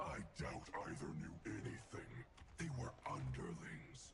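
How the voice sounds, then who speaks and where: A man puts on a character voice with a very deep, low pitch. He speaks at a fairly slow pace over loud background noise. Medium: video game. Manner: cold, clipped.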